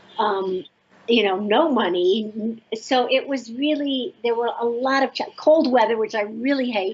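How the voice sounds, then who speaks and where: At a fairly slow pace, a woman talks in an ordinary speaking voice that sits fairly high. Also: ordinary pitch variation. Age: 60s. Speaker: author and spiritual teacher. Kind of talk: interview.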